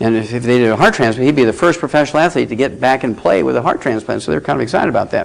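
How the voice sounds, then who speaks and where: A man rattles along very fast, his pitch varying in an ordinary way, while noticeable noise sounds behind him. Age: 70s. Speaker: medical lecturer. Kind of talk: lecture. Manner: animated.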